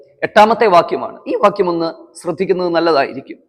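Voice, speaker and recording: A man talks with lively intonation. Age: 30s. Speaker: pastor. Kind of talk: sermon.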